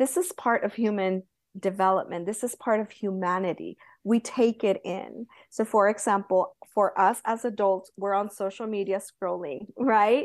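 A plain, everyday voice from a woman at a medium pitch, moderate pace and fairly even intonation, over a quiet background. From Southern California. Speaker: Montessori guide. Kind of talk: interview.

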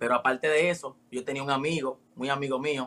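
A man's bright, sharp tone at medium pitch. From Dominican Republic. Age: 20s. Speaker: rapper. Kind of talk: interview. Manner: casual.

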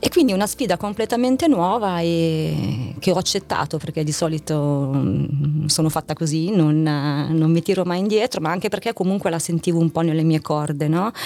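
A woman's fairly low voice at a moderate pace, lively intonation and noticeable background noise behind it. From northern Italy, Novara province. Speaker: corporate communications executive. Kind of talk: interview. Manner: hesitant with fillers.

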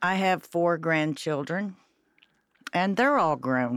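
In an Ohio accent, a fairly low-pitched woman talks at a very slow pace with lively intonation, on a very clean recording with a silent background. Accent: Midwestern US (Ohio). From Cincinnati, Ohio. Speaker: restaurant server. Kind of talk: casual interview chat.

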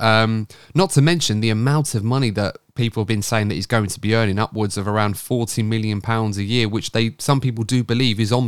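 Here a man speaks with a plain, everyday voice at a medium pitch and ordinary pitch variation. He moves at a fairly quick pace, and the recording is very clean with a silent background. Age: 30s. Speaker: podcast host. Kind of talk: casual chat.

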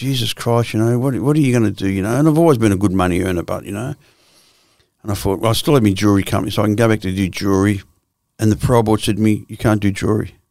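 A man at a very fast pace with an Australian accent, in a very clean recording with a silent background. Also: fairly low pitch for a man, ordinary pitch variation. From Australia, Victoria (Swan Hill, Melbourne). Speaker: former criminal, addiction counsellor. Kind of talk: casual interview.

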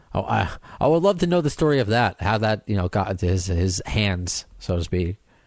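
The recording is very clean, with a silent background. A man with a normal speaking voice talks at a moderate pace at a fairly low pitch. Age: 30s. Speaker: podcast host. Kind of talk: casual chat.

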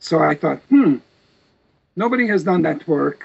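At a moderate pace, a man with a Serbo-Croatian accent speaks with vocal fry and ordinary pitch variation. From Serbia, Vojvodina region of former Yugoslavia. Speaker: professor of religious studies and genocide author. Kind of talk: interview.

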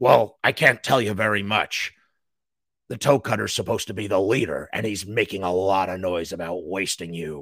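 A raspy, put-on character voice delivered at a moderate pace, recorded very cleanly against a silent background. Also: man, fairly low pitch for a man. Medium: read story. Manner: gruff, blunt, teasing.

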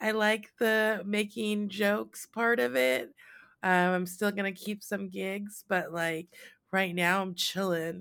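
The recording is very clean, with a silent background. A woman speaks at a very slow pace with ordinary pitch variation. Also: medium pitch for a woman. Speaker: podcast host. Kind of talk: casual chat.

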